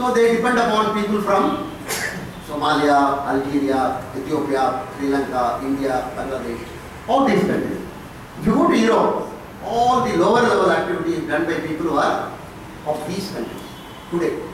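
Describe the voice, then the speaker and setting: A man with a high pitch swings very widely in pitch at a moderate pace, with strong room echo and light background noise. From India. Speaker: professor of finance. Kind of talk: lecture. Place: hall. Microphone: podium.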